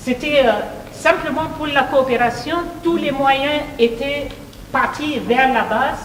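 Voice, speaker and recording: A woman speaks at a very slow pace and in a high pitch, leaving long, frequent pauses. The room echo is audible, and noticeable background noise runs underneath. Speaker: professor. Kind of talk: speech. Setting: meeting hall with audience, microphone. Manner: hesitant, many fillers.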